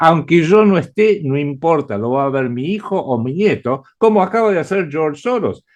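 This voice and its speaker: A man with an Argentine accent speaks at a moderate pace with hardly any pauses, his fairly high pitch carried by lively intonation. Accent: Argentine Spanish (Rioplatense). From Argentina. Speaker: writer and geopolitical analyst. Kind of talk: interview. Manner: hesitant with frequent fillers.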